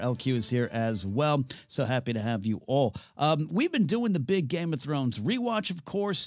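A man talks at a moderate pace, his pitch swinging very widely. Music plays in the background. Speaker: podcast host. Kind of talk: live-streamed casual podcast chat. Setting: studio.

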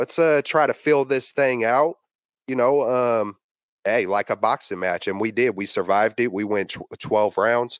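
With an American accent, a man talks at a medium pitch with ordinary pitch variation, the sound dry and close with no echo against a quiet background. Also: moderate pace. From San Francisco Bay Area. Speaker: podcaster and sports fan. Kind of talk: casual chat. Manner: animated.

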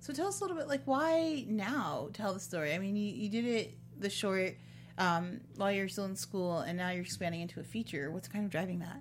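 With an American accent, a woman talks at a fairly quick pace in an animated tone, with audible room echo. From Chicago area. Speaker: podcast host. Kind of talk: interview. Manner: animated, laughs often.

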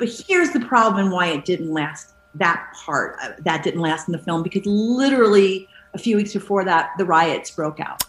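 Noticeable background noise runs behind the clip. A woman of medium pitch speaks at a moderate pace with lively intonation. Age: 50s. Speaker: actress. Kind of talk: casual chat.

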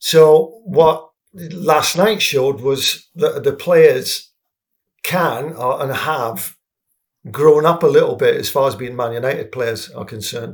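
With an English accent, a man speaks at a very slow pace, his loudness swinging widely. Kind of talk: casual football discussion.

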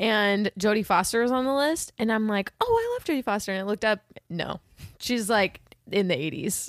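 A woman with an ordinary speaking voice and a fairly high pitch talks at a fairly quick pace with ordinary pitch variation, in a dry, close sound with no echo. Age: 20s. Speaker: podcast co-host, movie reviewer. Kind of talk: casual chat.

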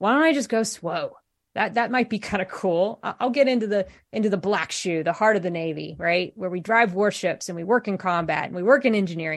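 A woman with an American accent speaks fairly quickly with lively intonation at a medium pitch. She has an unremarkable speaking voice over a quiet background. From US Midwest, Columbus, Ohio. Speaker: navy officer and military veteran. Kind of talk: interview. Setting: remote call.

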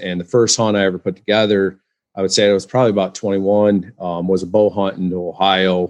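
The delivery is monotone and flat, with an American accent. The background is quiet. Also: man. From West Michigan. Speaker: hunter and author. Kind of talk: interview. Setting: video call. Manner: halting, many fillers.

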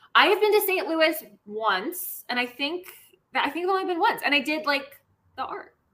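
A woman's extremely high, bright and sharp voice with an American accent, raised and projected, swinging very widely in pitch at a moderate pace. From Washington DC. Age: 30s. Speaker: actress. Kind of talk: casual chat.

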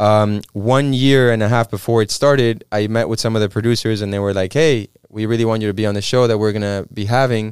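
A man with a Spanish accent, fairly low in pitch, with hardly any pauses. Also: fairly quick pace, very clean recording, silent background. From Mexico. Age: 20s. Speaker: actor. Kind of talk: casual chat. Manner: animated.

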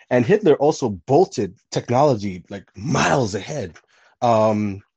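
A man speaks with medium pitch and a dark, mellow tone. His pitch varies in an ordinary way against a quiet background. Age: 20s. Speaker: podcast guest. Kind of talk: casual chat.

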